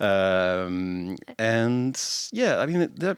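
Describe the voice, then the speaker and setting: A man speaks with a French accent, his pitch fairly low and his intonation lively. The recording is very clean with a silent background and a dry, close sound with no echo. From France. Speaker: podcast co-host. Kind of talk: casual chat. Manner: halting, many fillers.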